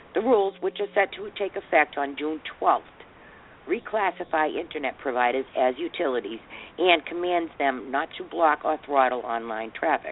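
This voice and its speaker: Using very wide pitch swings, a woman with a very deep, low voice speaks in a Boston accent at a moderate pace. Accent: thick Boston. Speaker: radio talk show host. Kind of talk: reading a news article aloud; casual talk show chat. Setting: studio.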